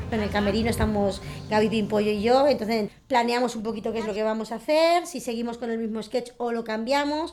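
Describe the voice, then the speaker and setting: Quickish and fairly high, a woman's normal speaking voice moves with ordinary pitch variation. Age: 40s. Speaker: circus clown. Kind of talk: documentary interview.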